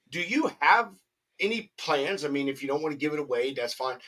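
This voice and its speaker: In a fairly high pitch, a man talks with a bright, sharp tone and an animated tone. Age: 30s. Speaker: podcast host. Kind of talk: casual chat.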